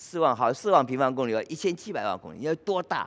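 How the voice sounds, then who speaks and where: Vocal fry runs through the man's speech. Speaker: forest ecologist, professor; professor. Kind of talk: lecture. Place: hall.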